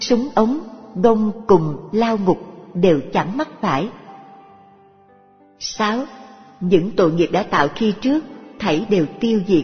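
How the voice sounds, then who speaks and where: Over faint background music, a woman speaks at a very slow pace. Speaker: audiobook narrator. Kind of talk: reading of a religious text.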